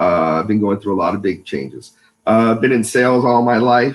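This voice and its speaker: The speaker is a man. He talks in a Californian accent. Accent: Californian American English. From California, US. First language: Spanish. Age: 50s. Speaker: business owner, salesman. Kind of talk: interview. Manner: hesitant, many fillers.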